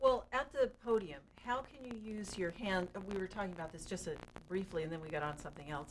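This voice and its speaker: Against noticeable background noise, a woman at a medium pitch talks at a very fast pace with lively intonation and big swings in loudness. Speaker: TV show host. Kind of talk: interview.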